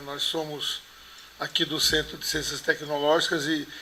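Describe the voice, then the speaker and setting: A man with a fairly high pitch talks at a moderate pace while noticeable background noise continues. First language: Portuguese. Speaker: university rector. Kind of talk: formal opening speech.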